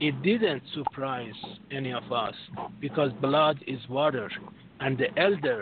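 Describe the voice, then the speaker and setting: A man with a strong non-native accent and fairly high pitch, at a very slow pace, over noticeable background noise. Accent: strong foreign. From Europe, France. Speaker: caller. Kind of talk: call-in discussion. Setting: phone call.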